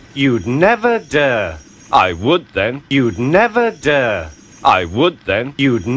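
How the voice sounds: Here is a natural reading voice. It is all the clip offers.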